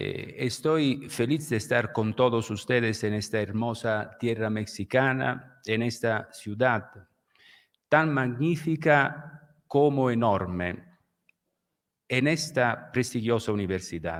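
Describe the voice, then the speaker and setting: In an Italian accent, a man speaks at a very slow pace. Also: medium pitch for a man, ordinary pitch variation. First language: Italian (speaking Spanish). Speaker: law professor, lecturer. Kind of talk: lecture, read aloud. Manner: halting, with fillers.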